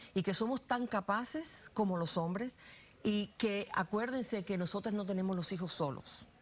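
The pace of this woman's speech is moderate. Her pitch shows ordinary variation. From Louisiana, US (born in Cuba). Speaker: political analyst and business consultant; guest. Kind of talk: interview; interview answer. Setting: studio. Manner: halting, frequent repetitions. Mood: warm, proud storytelling. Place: studio. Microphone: lapel.

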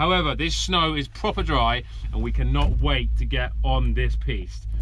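Over clear background noise, a man talks at a fairly slow pace.

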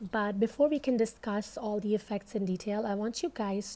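The woman's voice has a dark, mellow tone. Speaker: medical educator. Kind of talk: educational lecture. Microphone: phone near.

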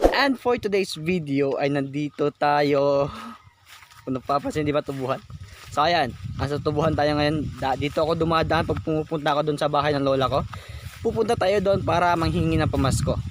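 Over noticeable background noise, a man with a fairly high pitch and ordinary pitch variation talks at a fairly quick pace, his loudness very even. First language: Cebuano (Bisaya) (speaking Tagalog). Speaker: vlogger. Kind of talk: casual vlog narration. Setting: outdoors, walking through sugarcane field. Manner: halting, occasional stammering; laughs often.

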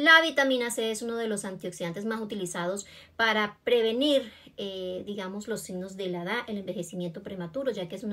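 A woman speaking at a fairly quick pace with ordinary pitch variation. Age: 40s. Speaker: beauty vlogger. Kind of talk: tutorial. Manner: casual and friendly. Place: home room. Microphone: phone near.

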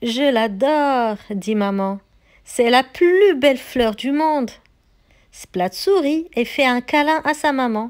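In a very clean recording with a silent background, a woman with a high pitch and a gentle, soothing tone speaks at a very slow pace with lively intonation. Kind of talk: bedtime story read aloud to children, narration with character dialogue. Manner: gentle, soothing storyteller pace with clear, warm expressiveness.

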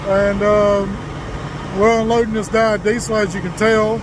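A man is speaking. The sound is dry with no echo, though background noise is noticeable. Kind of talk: casual vlog chat. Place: open country. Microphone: headset.

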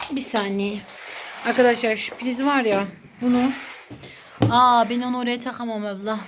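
A woman's high-pitched, monotone voice at a fairly slow pace, with long, frequent pauses and noticeable background noise. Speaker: vlogger. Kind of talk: casual talk to camera.

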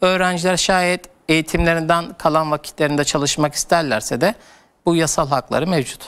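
Delivery holds a moderate pace with ordinary pitch variation. Loudness stays very even throughout. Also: man, fairly high pitch for a man. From Turkey. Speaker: education consultant; guest. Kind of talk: TV interview. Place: studio.

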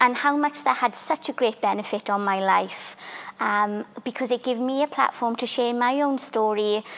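Speaking in a Welsh accent, a woman uses a high pitch with ordinary variation at a moderate pace. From Wales, Welsh valleys; Wales. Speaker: theatre maker and community artist; panellist. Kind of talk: panel discussion. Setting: library museum, live stream. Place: hall.

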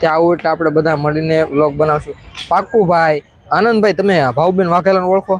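A man's high-pitched voice with very even loudness and fairly even intonation, over noticeable background noise. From Saurashtra, Gujarat (Gir area). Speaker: vlogger. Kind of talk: live stream chat.

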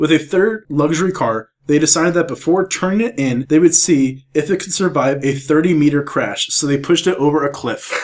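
Speaking fairly quickly with hardly any pauses, a man uses an ordinary speaking voice, fairly high in pitch, with ordinary pitch variation. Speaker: podcast co-host. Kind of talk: casual chat.

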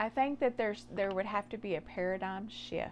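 A woman speaks over light background noise. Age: 40s. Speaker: nurse and health vlogger; health vlogger. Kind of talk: personal testimony monologue. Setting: home office late at night. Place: garage. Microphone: phone near.

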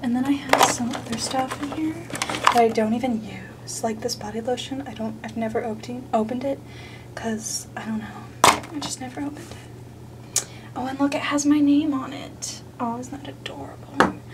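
A woman is whispering. Loud background noise fills the clip. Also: moderate pace. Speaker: YouTuber. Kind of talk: comedic parody ASMR video. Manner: whispered. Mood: jokey, self-mocking. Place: bathroom. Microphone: phone near.

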